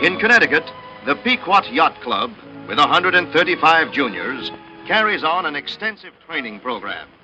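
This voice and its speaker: An upbeat man with a high pitch and very wide pitch swings, speaking at a moderate pace over music in the background. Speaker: newsreel narrator. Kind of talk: 1940s newsreel narration.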